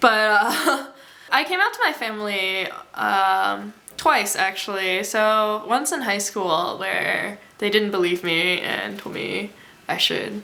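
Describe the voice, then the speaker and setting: A woman talks at medium pitch, her pitch varying in an ordinary way, with noticeable background noise around her. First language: Mandarin Chinese. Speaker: college student. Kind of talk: interview.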